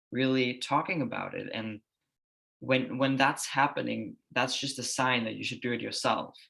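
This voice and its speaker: A man with a Danish accent, medium pitch, a bright, sharp tone and vocal fry. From Denmark. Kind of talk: casual interview chat. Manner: calm, even.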